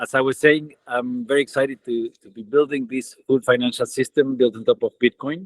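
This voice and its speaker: In an Argentine accent, a man at medium pitch talks fairly quickly with hardly any pauses, fairly even intonation and big swings in loudness. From Argentina. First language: Spanish. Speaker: tech company co-founder. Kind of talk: online webinar greeting.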